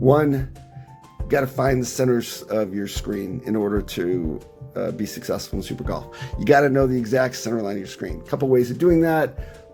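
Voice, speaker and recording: A man talks at a moderate pace and medium pitch with ordinary pitch variation and big swings in loudness. Music plays in the background. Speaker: mobile gamer. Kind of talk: casual gameplay tutorial commentary.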